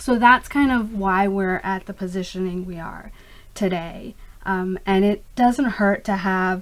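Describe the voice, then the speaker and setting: Woman with a plain, everyday voice at medium pitch, fairly slow and fairly even in intonation, with big swings in loudness. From US, immigrated from Pakistan at age five. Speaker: skincare company founder. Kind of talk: interview. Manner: frequent fillers, um and uh.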